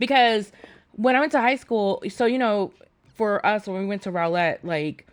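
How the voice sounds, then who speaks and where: An animated woman with an American accent, fairly high in pitch with lively intonation, on a very clean recording with a silent background. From New York City. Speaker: podcast co-host. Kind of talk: casual chat.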